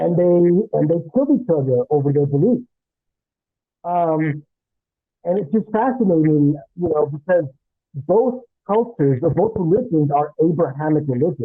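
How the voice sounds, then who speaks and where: A man's high-pitched voice with lively intonation, very even loudness, a moderate pace, and long, frequent pauses. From United States, bilingual Spanish-speaking family. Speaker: English teacher. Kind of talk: casual interview conversation. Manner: hesitant, many fillers.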